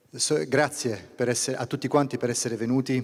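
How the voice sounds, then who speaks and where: A man speaks with an Italian accent at a medium pitch. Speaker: business association president. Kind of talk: welcome speech. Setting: stage in opera theater with audience. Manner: halting in English.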